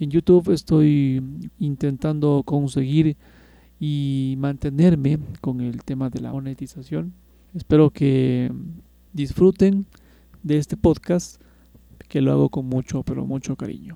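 A man with a fairly high pitch and a dark, mellow tone talks at a fairly slow pace with ordinary pitch variation and long, frequent pauses, the sound dry and close with no echo. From Ecuador, Quito. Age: 40s. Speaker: radio operator. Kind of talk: casual podcast monologue.

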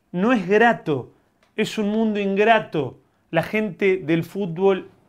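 Over a quiet background, a man speaks at a very slow pace. His voice is high in pitch. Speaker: podcast host. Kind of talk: casual chat.

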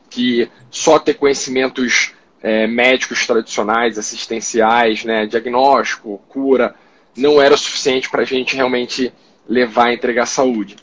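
Speech moves along fairly slowly. Its intonation stays flat and monotone. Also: man, medium pitch for a man. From Rio de Janeiro, Brazil. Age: 30s. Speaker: doctor and startup founder. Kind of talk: casual interview livestream. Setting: online live stream.

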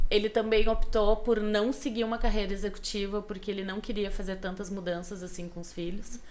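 A woman's medium-pitched voice with a southern Brazilian accent, fairly even intonation, big swings in loudness and hardly any pauses, plus audible room echo. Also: fairly quick pace. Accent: gaúcho Brazilian Portuguese. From Rio Grande do Sul, Brazil (western frontier, Alegrete). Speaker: podcast guest telling her life story. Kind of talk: casual interview chat.

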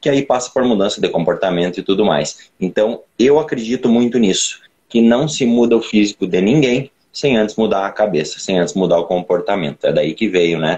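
Here a man with an unremarkable speaking voice talks at a moderate pace and medium pitch, his intonation lively and his loudness very even. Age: 20s. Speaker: personal trainer and bodybuilder. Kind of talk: casual chat.

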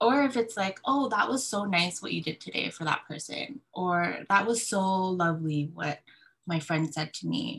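Using an ordinary speaking voice, a woman of medium pitch talks at a moderate pace with lively intonation. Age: 30s. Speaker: graphic designer, single mother. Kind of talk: casual chat.

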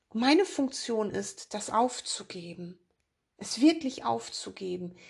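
Her voice fairly high in pitch, a woman speaks at a very slow pace. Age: 50s. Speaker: spiritual podcast host and author. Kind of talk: spiritual monologue.

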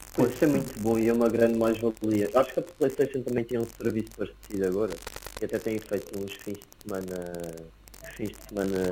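The talking moves at a fairly quick pace. Noticeable background noise sits behind it. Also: man, medium pitch for a man, ordinary pitch variation. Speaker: podcast host. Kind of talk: casual chat.

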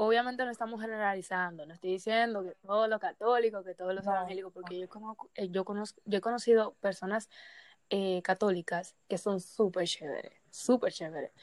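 A woman with an ordinary speaking voice talks fairly quickly at a medium pitch, her intonation fairly even but her loudness swinging widely. The recording is very clean and dry, close with no echo and a silent background. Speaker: podcast host. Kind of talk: casual chat.

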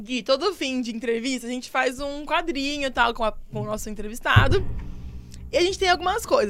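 This woman talks at a fairly quick pace with a high pitch. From São Bernardo do Campo, ABC Paulista, Brazil. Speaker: podcast host. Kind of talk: casual chat. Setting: video call.

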